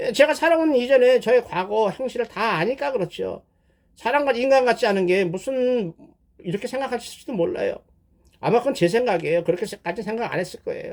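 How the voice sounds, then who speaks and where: A man at an extremely high pitch, with lively intonation and a fairly quick pace. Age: 70s. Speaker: pastor. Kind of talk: sermon-style testimony. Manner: conversational, halting with self-corrections.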